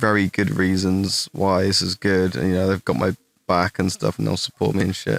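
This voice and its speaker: A man with an English accent, fairly low in pitch, at a moderate pace, in a dry, close sound with no echo. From England. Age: 20s. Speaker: gaming streamer. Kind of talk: live stream Q&A. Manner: casual, halting with fillers.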